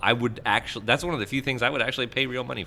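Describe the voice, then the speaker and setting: A man speaks loudly. His tone is bright and sharp. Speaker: gaming podcast host. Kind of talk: casual chat.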